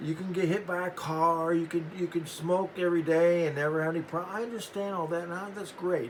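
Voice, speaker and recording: Over noticeable background noise, a man with an American accent talks at a fairly quick pace. His pitch is high and his intonation fairly even. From Central Texas. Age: 60s. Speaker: singer-songwriter. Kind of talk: casual monologue. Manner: halting.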